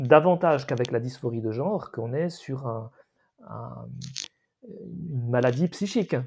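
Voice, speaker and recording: A man talks rather slowly, his medium pitch varying in an ordinary way. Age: 50s. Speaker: podcast co-host. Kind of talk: casual discussion. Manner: halting.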